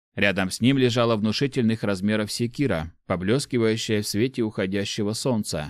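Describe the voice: Someone reads aloud in a plain manner.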